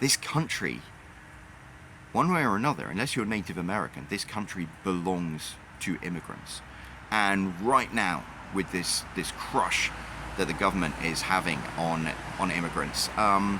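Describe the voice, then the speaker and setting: In a British accent, the speaker talks at a fairly slow pace with lively intonation and long, frequent pauses, over noticeable background noise. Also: man, very deep, low pitch for a man. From Britain. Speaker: YouTuber and author. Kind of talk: casual monologue.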